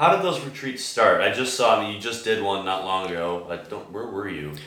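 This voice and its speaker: With an American accent and audible room echo, a man speaks at a fairly low pitch and moderate pace, his lively intonation paired with big swings in loudness. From US Midwest, Chicago. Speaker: podcast host. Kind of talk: casual interview conversation.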